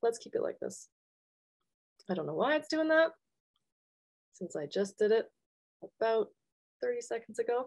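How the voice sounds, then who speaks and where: A woman speaks with a Canadian accent. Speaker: engineering professor and researcher. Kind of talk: academic webinar lecture. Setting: video call webinar with shared slides. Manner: fast.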